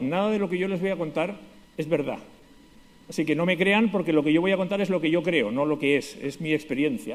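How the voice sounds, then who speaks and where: A man with a Spanish accent talks at a very fast pace. His voice is high, with ordinary pitch variation. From Spain, Basque Country (San Sebastián). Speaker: conference speaker, lawyer. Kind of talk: conference talk.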